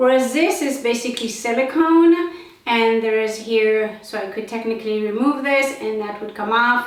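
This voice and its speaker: Over noticeable background noise and audible room echo, a woman with a non-native accent speaks at a moderate pace with ordinary pitch variation. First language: not English. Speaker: beauty product reviewer. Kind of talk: product demonstration. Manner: halting, filler-heavy.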